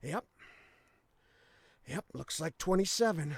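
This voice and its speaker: Using a put-on character voice, a man talks at a fairly slow pace in a high, raspy voice. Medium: video game.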